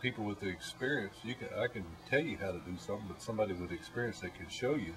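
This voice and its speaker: A man with an Appalachian accent, fairly low in pitch, talking very fast over noticeable background noise. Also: ordinary pitch variation. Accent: Appalachian Southern US. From Blue Ridge Mountains of Virginia. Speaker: mountain man. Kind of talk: interview answer.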